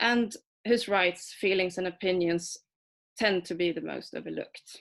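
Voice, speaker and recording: At a moderate pace, a woman with a Swedish accent speaks at a medium pitch with fairly even intonation. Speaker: adoptee rights activist and comic artist. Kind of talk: prepared talk read from manuscript. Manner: hesitant, with fillers.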